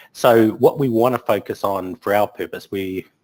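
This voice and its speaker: Dry, close sound with no echo around a man's fairly low-pitched voice. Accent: New Zealand. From New Zealand. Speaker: technology conference speaker. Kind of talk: webinar presentation. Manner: hesitant, many filler words.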